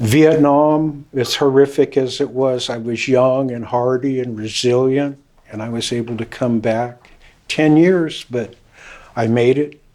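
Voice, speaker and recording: The delivery comes at a fairly slow pace, with a dark, mellow tone and fairly even intonation. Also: man, medium pitch for a man. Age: 70s. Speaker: trial witness, Vietnam veteran. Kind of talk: courtroom testimony.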